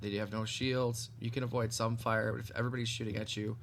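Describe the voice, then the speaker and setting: Over audible room echo, a man rattles off words at a very fast pace, medium in pitch and flat and monotone in intonation. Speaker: gaming youtuber. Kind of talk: game review walkthrough. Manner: casual with frequent fillers.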